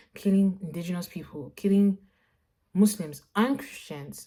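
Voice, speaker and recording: A woman's somewhat breathy voice in a dark, mellow tone, very clean recording with a silent background. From Nigeria (Lagos). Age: 20s. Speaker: visual artist vlogger. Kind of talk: casual vlog monologue. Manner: animated, conversational.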